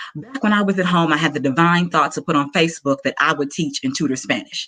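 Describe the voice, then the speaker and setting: A woman speaks with a Southern US accent and a fairly low pitch. Her intonation is lively. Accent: Southern American. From US South, Arkansas. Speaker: entrepreneur pitching her business. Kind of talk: pitch presentation.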